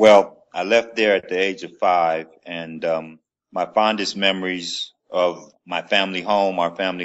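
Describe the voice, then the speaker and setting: A man with an American accent speaks in a very deep, low pitch. His delivery is fairly slow and monotone, with flat intonation. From Los Angeles, California. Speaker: former basketball player and film producer. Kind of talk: interview.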